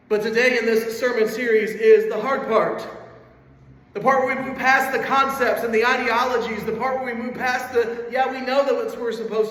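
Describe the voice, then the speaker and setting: At a moderate pace, a man speaks at an extremely high pitch in a monotone, flat delivery. The room echoes audibly and background noise is noticeable. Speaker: pastor. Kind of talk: sermon.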